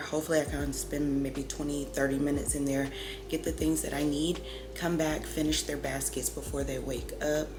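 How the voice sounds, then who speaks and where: Audible room echo and noticeable background noise surround the woman as she talks at a moderate pace. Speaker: mom vlogger. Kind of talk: casual vlog talk. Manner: casual, filler-heavy.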